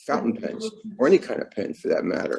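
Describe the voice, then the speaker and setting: A man speaks in a Brooklyn accent with a dark, mellow tone. His pace is fairly quick. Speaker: calligrapher. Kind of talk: casual chat. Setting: video call. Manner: slurred.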